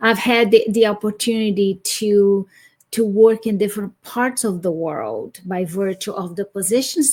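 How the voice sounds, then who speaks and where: Speaking at a fairly slow pace in a Brazilian accent, a woman keeps a medium pitch and fairly even intonation. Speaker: academic and speaker. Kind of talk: interview. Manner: halting.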